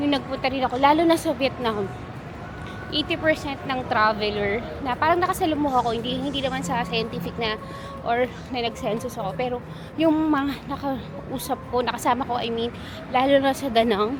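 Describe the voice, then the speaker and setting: Over noticeable background noise, a soft-spoken woman with a high pitch talks at a fairly quick pace. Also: ordinary pitch variation. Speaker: travel vlogger. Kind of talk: travel vlog narration. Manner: casual.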